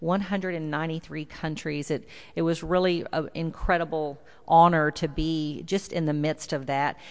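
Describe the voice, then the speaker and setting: A woman with a very deep, low voice and a slight Texan accent speaks in a monotone, flat way at a moderate pace against a quiet background. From South Texas. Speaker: visiting preacher. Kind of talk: sermon. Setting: church.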